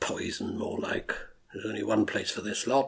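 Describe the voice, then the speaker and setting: Putting on a character voice, a man speaks at a moderate pace in a raspy, medium-pitched tone. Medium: audio drama. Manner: reflective, confessional.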